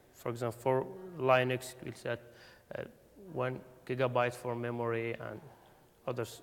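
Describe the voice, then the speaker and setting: He talks with a non-native accent. His delivery moves at a fairly slow pace. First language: not English. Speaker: conference speaker. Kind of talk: technical talk. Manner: halting, many fillers.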